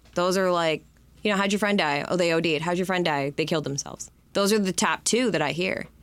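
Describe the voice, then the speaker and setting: On a very clean recording with a silent background, a woman with an Upper Midwest accent talks at a fairly quick pace, her fairly low voice very even in loudness with ordinary pitch variation. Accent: Upper Midwest American. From Michigan, Detroit area. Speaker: founder of a suicide loss support organization. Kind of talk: interview. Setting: studio.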